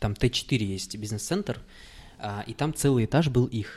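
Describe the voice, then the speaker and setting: Speaking at a moderate pace and medium pitch, a man has a normal speaking voice on a very clean recording with a silent background. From Kazakhstan. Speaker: podcast host. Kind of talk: casual chat.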